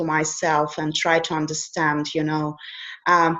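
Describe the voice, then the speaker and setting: In a Russian accent, a woman speaks at a fairly low pitch and a fairly slow pace. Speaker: life coach. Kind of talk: interview.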